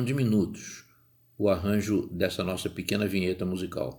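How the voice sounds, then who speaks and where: Over a very clean recording with a silent background, a man with a Rio de Janeiro accent speaks in a dark, mellow tone at a fairly low pitch, with ordinary pitch variation and a fairly slow pace. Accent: carioca. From Rio de Janeiro, Brazil. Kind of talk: podcast monologue. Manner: conversational.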